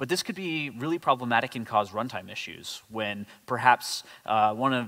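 At a moderate tempo, the pitch shifts in an ordinary way. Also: man. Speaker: conference presenter. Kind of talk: technical talk. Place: hall.

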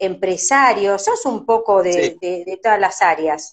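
A woman with an Argentine accent at a fairly slow pace, against a quiet background. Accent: Rioplatense Argentine Spanish. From Argentina. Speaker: radio host doing a live stream interview. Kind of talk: casual live-stream interview chat. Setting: live video stream from her office. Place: home room. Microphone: phone near.

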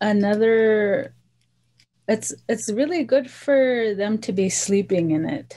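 Speaking at a very slow pace with an American accent, a woman has a fairly high pitch and a dark, mellow tone. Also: lively intonation. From US, Montana, Flathead Reservation; Montana. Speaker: cultural practitioner; interviewee. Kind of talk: interview; interview answer. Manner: halting. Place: home room. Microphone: video call.

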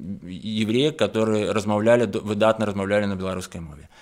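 In a quiet background, this man's voice sits fairly low in pitch. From Belarus. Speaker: painter; guest. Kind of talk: studio interview. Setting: radio studio. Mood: calm, earnest. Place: studio. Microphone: studio mic.

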